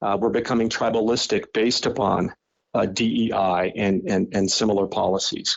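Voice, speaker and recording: At a moderate pace, a man with an American accent talks in a medium pitch with very even loudness. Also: ordinary pitch variation. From Colorado, US. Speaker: professor and author. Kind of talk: interview. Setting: podcast interview. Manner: halting, many repeated words.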